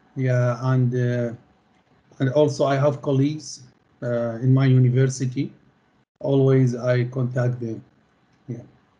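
With an Arabic accent, a man speaks at a medium pitch and a fairly slow pace, with long, frequent pauses, monotone, flat intonation, a somewhat breathy quality and a dark, mellow tone. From Middle East. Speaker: postgraduate student; interviewee. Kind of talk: interview. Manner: halting. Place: home room. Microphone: video call.

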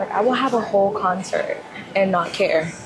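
A woman's voice with ordinary pitch variation over clear background music. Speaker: fitness vlogger. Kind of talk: casual vlog chat. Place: gym.

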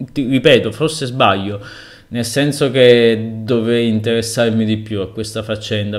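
A man's medium-pitched voice at a moderate pace, with ordinary pitch variation and a quiet background. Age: 30s. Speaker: blogger and web writer, author; guest. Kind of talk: interview answers. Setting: remote link. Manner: halting, many fillers. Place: home room. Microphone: video call.

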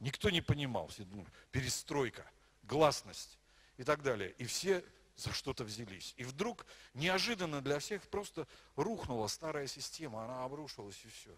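At a moderate pace, a man speaks with fairly high pitch, very wide pitch swings, big shifts in loudness and long, frequent pauses. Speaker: pastor. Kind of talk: sermon. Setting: church. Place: church. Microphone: handheld.

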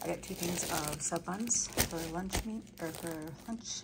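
Loud background noise fills the clip. Through it, a woman speaks at a fairly slow pace. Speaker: home vlogger. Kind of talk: casual vlog chat. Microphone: phone near.

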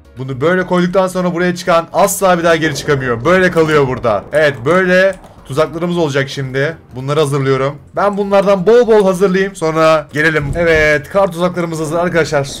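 Over noticeable background noise, a man with a high pitch speaks at a fairly quick pace with hardly any pauses and ordinary pitch variation. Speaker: gaming YouTuber. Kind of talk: casual gaming commentary. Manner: animated.

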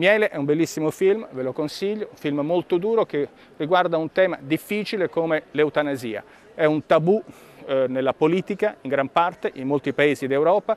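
A man's fairly high-pitched voice, dry with no echo, moves at a moderate pace with ordinary pitch variation. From Italy. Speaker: member of the European Parliament; politician. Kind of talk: political video update. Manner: formal. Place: hall. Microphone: lapel.

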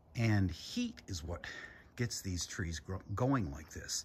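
A man talks at a fairly low pitch, somewhat breathy. His intonation is lively and his pace fairly slow. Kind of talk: casual vlog chat. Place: garden. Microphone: phone near.

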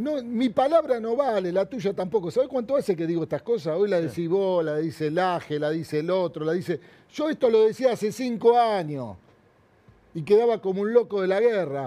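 In a Rioplatense accent, a man talks at a fairly quick pace with a high pitch and a dark, mellow tone. His intonation is lively. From Argentina, Buenos Aires area; Argentina. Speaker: hairdresser and businessman; interview guest. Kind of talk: interview. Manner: animated. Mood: indignant, critical. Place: studio. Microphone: lapel.

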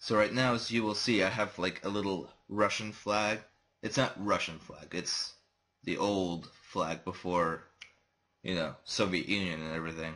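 A man speaks quietly in a bright, sharp tone. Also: fairly low pitch for a man, ordinary pitch variation, moderate pace. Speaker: gaming youtuber. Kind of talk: let's play commentary. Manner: quiet, kept low volume.

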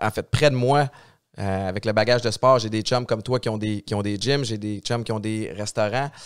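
Against a quiet background, a man with an unremarkable speaking voice talks at a moderate pace, his fairly low pitch held in fairly even intonation. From Montreal-Nord, Quebec; Quebec. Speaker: podcast host, radio host, former football player; podcast host, radio host. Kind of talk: casual chat. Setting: studio. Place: studio. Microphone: studio mic.

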